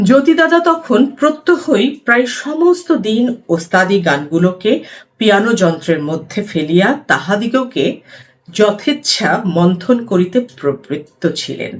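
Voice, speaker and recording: Her voice sits at a medium pitch for a woman but swings very widely up and down. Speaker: theatre practitioner. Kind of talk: book reading.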